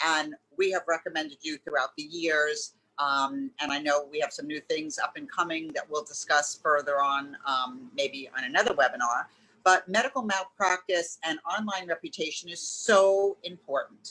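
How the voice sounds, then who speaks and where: The voice has a New York accent, lively intonation, and a bright, sharp tone. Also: woman, fairly low pitch for a woman, moderate pace. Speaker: business consultant and webinar host. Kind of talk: webinar interview.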